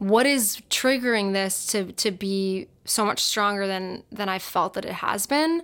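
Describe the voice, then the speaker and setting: On a very clean recording with a silent background, a woman with a medium pitch speaks in a plain, everyday voice with lively intonation. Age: 30s. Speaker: podcast co-host. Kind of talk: casual chat.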